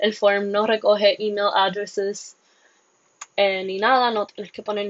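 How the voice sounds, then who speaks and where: A woman with a medium-pitched voice talks at a very slow pace in a monotone, flat intonation. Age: 20s. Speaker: podcast host and biology student. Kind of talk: solo podcast monologue. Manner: halting, with fillers.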